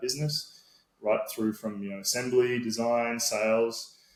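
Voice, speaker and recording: A man with an Australian accent, fairly quick pace and fairly even intonation. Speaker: sales and marketing manager. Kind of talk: podcast interview.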